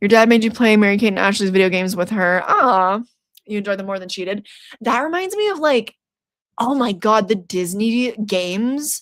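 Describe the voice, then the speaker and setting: A woman uses a normal speaking voice at a fairly high pitch, speaking at a moderate pace with ordinary pitch variation. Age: 20s. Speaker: horror YouTuber streaming trivia. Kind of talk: casual livestream chat reading comments.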